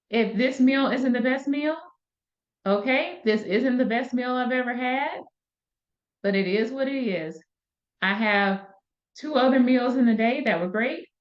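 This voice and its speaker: Speaking at a fairly slow pace with an American accent, a woman uses an animated tone and a high pitch with ordinary variation, taking long, frequent pauses amid audible room echo. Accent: Southern US, comes out occasionally. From US South, Valdosta, Georgia. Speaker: wellness coach. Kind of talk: solo podcast talk. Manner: conversational, animated.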